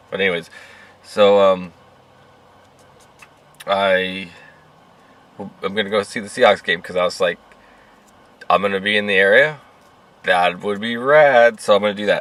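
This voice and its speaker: A quiet, raspy, put-on character voice moves at a moderate pace with fairly even intonation and long, frequent pauses. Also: man, fairly low pitch for a man. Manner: speaking quietly, hushed.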